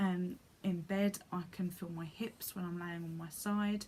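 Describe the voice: A woman speaks at a fairly slow pace, her fairly low pitch carrying a slightly mellow tone and fairly even intonation.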